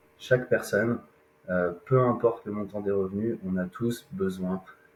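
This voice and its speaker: A man speaks in a fairly low pitch with a somewhat breathy sound. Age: 30s. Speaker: independent loan insurance and wealth advisor. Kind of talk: podcast interview. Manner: hesitant, many fillers.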